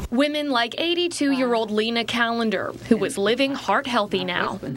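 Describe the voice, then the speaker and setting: Noticeable background noise sits behind the voice. The speech moves at a moderate pace with ordinary pitch variation. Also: woman, fairly high pitch for a woman. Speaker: TV news reporter. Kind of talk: TV news report.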